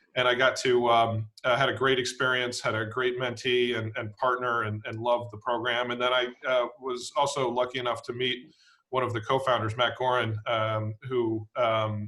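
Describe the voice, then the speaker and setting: At a moderate pace, a man of medium pitch with an American accent speaks in a monotone, flat intonation. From US, Washington DC area. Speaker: private equity executive, nonprofit board chairman. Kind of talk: fireside chat. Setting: video webinar. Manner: hesitant, many fillers.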